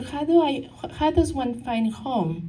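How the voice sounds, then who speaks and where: A woman speaks with a non-native accent. Room echo is audible. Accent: foreign accent, noticeable. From Mexico. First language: Spanish. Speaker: counselor and nonprofit founder. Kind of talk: talk to a local society. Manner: halting, many fillers and restarts.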